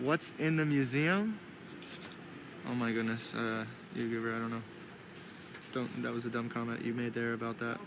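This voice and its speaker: Amid noticeable background noise and audible room echo, a man with a medium pitch talks at a fairly quick pace with fairly even intonation, broken by long, frequent pauses. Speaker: live streamer. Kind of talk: live commentary. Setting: outdoors. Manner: halting, many fillers. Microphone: muffled by face mask.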